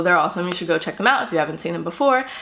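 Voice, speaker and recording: A woman is speaking. Room echo is audible. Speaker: beauty vlogger. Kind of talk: casual vlog talk. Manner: hesitant, many fillers.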